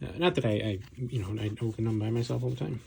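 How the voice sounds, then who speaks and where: The voice is somewhat breathy, with a dark, mellow tone. The words come out mumbled. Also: man. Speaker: card opening video creator. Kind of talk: casual pack-opening commentary. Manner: mumbling.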